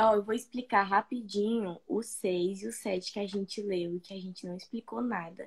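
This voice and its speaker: A woman speaks in a somewhat breathy voice against a quiet background. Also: ordinary pitch variation, moderate pace, big swings in loudness. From Brazil. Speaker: study group member and co-host. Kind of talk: casual chat and discussion. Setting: live stream video call. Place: home room. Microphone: phone near.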